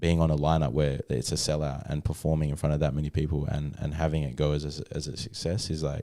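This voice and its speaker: A man talks at a very fast pace with hardly any pauses, in an Australian accent. His voice is very deep and low, with a dark, mellow tone and fairly even intonation. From Australia, New South Wales then Western Australia. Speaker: hip-hop artist. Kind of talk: casual chat. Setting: studio.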